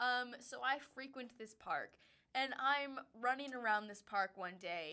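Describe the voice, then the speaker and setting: Talking at a fairly slow pace, a woman with an American accent has a high pitch and a bright, sharp tone. Her pitch variation is ordinary, while her loudness swings widely. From Wisconsin. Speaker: podcast co-host. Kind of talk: casual chat.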